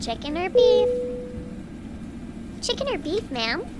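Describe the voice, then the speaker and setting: A female-sounding, put-on character voice at an extremely high pitch, moderate pace, over loud background noise. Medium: audio drama. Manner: polite, repetitive.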